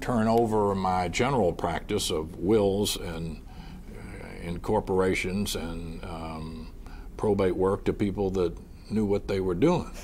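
With a slight Southern US accent, a man speaks very slowly in a very deep, low pitch with ordinary pitch variation, over light background noise. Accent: mild Southern US. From US South. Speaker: trial lawyer. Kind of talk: oral history interview. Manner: soft-spoken. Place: studio. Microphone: lapel.

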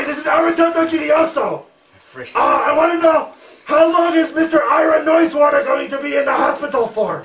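A man uses a put-on character voice. His pitch is extremely high. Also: moderate pace. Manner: demanding, brusque.

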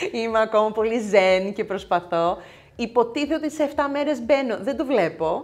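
With lively intonation, a woman of fairly high pitch talks at a moderate pace. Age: 50s. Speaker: nail technician and content creator; content creator. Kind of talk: casual chat. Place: home room. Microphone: lapel.

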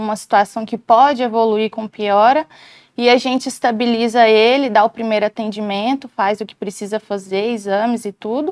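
A woman speaks at a moderate pace, the sound dry with no echo and the background quiet. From Goiás, Brazil (Itumbiara); Goiás, Brazil. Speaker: emergency physician; guest. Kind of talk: interview. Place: studio. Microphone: lapel.

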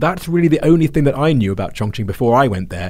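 A man's somewhat breathy, very fast delivery in a southern English accent, with lively intonation. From London, England. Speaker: podcast host. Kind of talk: interview.

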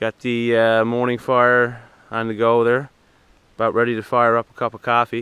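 A man speaks at a fairly low pitch with a clear, smooth tone that is also bright and sharp.

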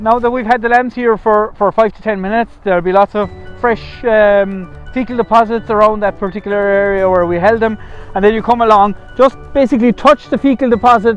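Faint music plays behind a man speaking at a high pitch. His intonation is fairly even, and the sound is dry with no echo. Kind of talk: tutorial. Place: farm machine.

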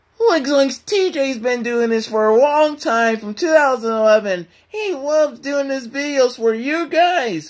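A put-on character voice speaks in a high pitch. The pace is fairly slow, with hardly any pauses. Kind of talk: casual slang. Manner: goofy, drawn-out.

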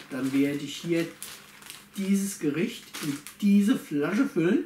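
There is light background noise and audible room echo. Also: man. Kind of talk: casual vlog chat. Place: home room. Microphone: camera far.

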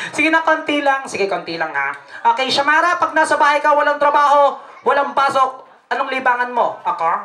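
A woman's raised, projected voice. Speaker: party host. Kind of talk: comic emcee interview banter. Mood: playful, teasing. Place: hall. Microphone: handheld.

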